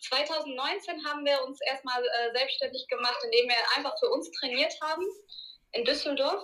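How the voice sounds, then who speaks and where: A woman with a high pitch delivers her words with lively intonation. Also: moderate pace. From Germany, Ruhr area (Duisburg). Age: 30s. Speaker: martial arts school owner. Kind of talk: interview.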